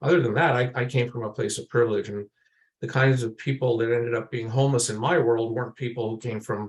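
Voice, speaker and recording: At a fairly quick pace, a man talks in a somewhat breathy, medium-pitched voice with fairly even intonation. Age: 60s. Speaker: lived experience researcher. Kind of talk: panel presentation. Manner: halting, many fillers and repetitions.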